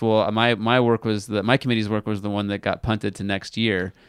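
A man talks at a fairly quick pace in a plain, everyday voice at medium pitch. The sound is dry and close, with no echo. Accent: American. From California Central Valley. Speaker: pastor. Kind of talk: casual chat.

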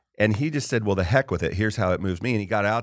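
In a very clean recording with a silent background, a man with a plain, everyday voice speaks with an American accent at a fairly low pitch and ordinary pitch variation. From US, partly California. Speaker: podcast host. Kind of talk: casual interview conversation.

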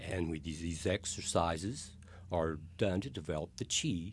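Breathy to a degree, a man speaks at a fairly slow pace in a very deep, low voice. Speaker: martial arts instructor. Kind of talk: casual chat.

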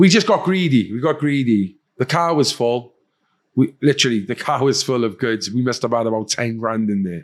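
Lively, medium-pitched male voice in a Cardiff accent at a moderate pace, very clean with a silent background. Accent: Cardiff Welsh. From Wales, Cardiff. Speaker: former addict, podcast host and charity worker. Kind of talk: casual chat.

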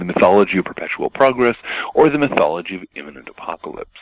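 A man's fairly quick, lively-intoned voice, dry and close with no echo, over noticeable background noise. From US West Coast, Seattle area. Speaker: author and blogger. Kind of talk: interview.

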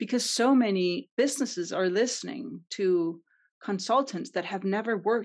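Someone speaks with a Danish accent at a moderate pace and ordinary pitch variation. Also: woman. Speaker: CX consultant and entrepreneur. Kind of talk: podcast interview.

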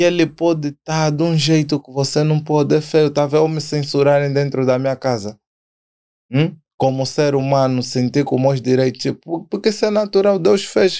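Speaking at a moderate pace, the man has a dark, mellow tone and ordinary pitch variation. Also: fairly high pitch for a man. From Angola. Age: 20s. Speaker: rapper. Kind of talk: casual chat.

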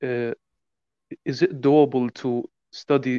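A man's dark, mellow voice moves at a very slow pace in a monotone, flat intonation. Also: dry, close sound with no echo. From Jordan. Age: 20s. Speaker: caller, prospective student. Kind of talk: casual chat. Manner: halting.

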